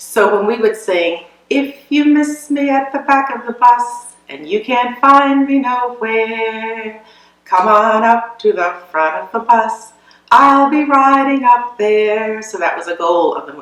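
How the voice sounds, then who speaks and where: Over noticeable background noise, a woman talks at a fairly slow pace and fairly high pitch, with lively intonation and big swings in loudness. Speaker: veteran educator and musician. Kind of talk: interview answer.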